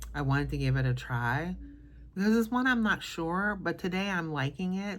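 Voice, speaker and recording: A soft-spoken woman with a fairly low pitch uses lively intonation at a moderate pace. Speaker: perfume content creator. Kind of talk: casual vlog review.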